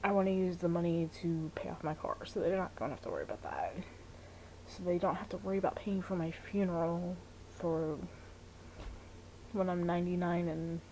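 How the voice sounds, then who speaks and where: Her fairly low voice moves at a fairly quick pace in a monotone, flat delivery, broken by long, frequent pauses. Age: 30s. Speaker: vlogger and fitness coach. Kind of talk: personal vlog monologue. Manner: conversational with many fillers (um, you know).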